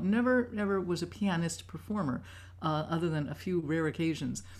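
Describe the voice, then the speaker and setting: An ordinary speaking voice with an American accent. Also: woman. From New York City (Manhattan). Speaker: composer. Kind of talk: talk to students over video call. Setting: video call.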